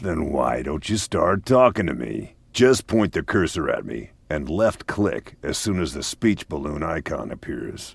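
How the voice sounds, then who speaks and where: Putting on a character voice at a very deep, low pitch, a man talks at a moderate pace with hardly any pauses. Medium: video game. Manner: dry, teasing.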